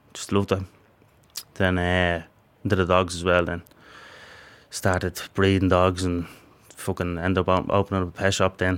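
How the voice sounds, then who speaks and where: A flat, monotone delivery in a Dublin accent, broken by long, frequent pauses. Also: man, very deep, low pitch for a man, moderate pace. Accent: Dublin Irish. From Ireland, Dublin. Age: 20s. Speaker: prisoner. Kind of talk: interview.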